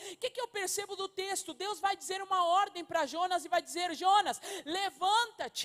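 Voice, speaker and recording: A woman with an extremely high pitch speaks at a moderate pace, her intonation fairly even. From Uruguay. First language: Spanish (speaking Portuguese). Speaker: pastor. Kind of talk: sermon.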